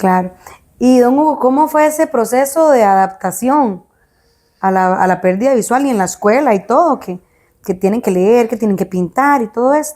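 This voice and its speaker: A woman's dark, mellow voice, fairly high in pitch, with lively intonation at a moderate pace. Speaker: podcast host. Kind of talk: interview.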